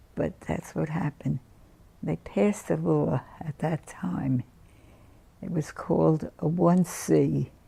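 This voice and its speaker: A woman speaks very slowly with an American accent, leaving long, frequent pauses over noticeable background noise. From Newark, New Jersey. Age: 90s. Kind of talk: interview answer.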